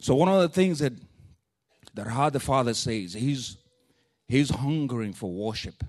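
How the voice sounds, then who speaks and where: A man with a strong non-native accent, medium pitch, lively intonation and a moderate pace against a quiet background. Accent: thick non-native. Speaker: preacher. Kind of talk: sermon. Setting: church. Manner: animated, informal.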